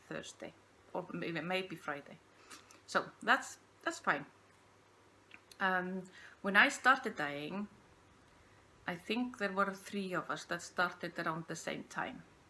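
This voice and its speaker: Speaking with an Icelandic accent, a woman with a bright, sharp tone talks at a fairly slow pace with ordinary pitch variation and long, frequent pauses. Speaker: podcast host, yarn dyer. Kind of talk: casual unscripted monologue. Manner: halting, hesitant.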